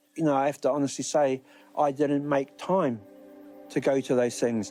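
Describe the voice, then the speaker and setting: A man talks with a New Zealand accent, his pitch fairly high and his intonation fairly even. His loudness stays very even while music plays in the background. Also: moderate pace. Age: 60s. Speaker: Māori elder and language graduate. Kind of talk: interview testimony. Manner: halting.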